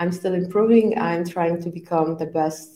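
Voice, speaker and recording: A woman with a Polish accent at a fairly slow pace. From Poland. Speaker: scrum trainer. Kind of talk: casual interview.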